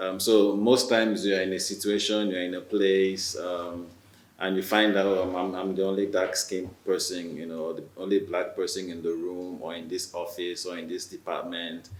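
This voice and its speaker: Against noticeable background noise and audible room echo, a man with a Nigerian accent speaks at a moderate pace in a very deep, low pitch with monotone, flat intonation. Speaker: writer, newcomer to Canada. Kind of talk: panel discussion. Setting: video call. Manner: halting, many fillers.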